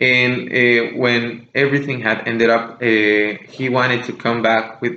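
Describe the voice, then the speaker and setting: Noticeable background noise and audible room echo surround a man's speech. He talks at a fairly slow pace with monotone, flat intonation. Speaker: music podcast host. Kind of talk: casual monologue podcast. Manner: slower than usual, deliberate; hesitant, many fillers.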